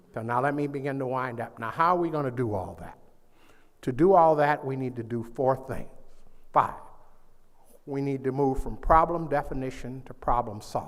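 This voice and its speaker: A man at a medium pitch and moderate pace, with ordinary pitch variation, long, frequent pauses and audible room echo. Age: 80s+. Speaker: psychologist and keynote speaker. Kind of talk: keynote address. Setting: conference stage with audience. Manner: animated, call-and-response.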